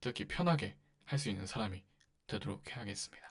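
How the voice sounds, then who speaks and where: A man's medium-pitched voice with vocal fry. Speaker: podcast host. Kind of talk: casual monologue.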